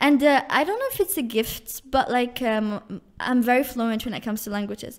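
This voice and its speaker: A woman speaks with an Algerian accent at a high pitch. Her pace is moderate, with ordinary pitch variation. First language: Algerian Arabic. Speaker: university student. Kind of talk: casual chat. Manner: halting, many fillers.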